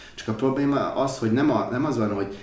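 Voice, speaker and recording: A man is speaking. There is audible room echo around him. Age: 30s. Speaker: productivity enthusiast. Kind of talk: casual chat.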